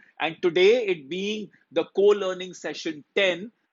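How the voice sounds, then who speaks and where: Here a man with a high-pitched voice speaks at a moderate pace. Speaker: motivational speaker, life coach. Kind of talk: casual Hindi-English live stream talk to viewers. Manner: upbeat, cheerful.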